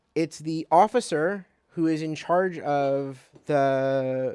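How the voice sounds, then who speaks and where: His pitch moves with ordinary variation. This man talks with a non-native accent. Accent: foreign accent in his adopted country. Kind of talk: motivational lecture.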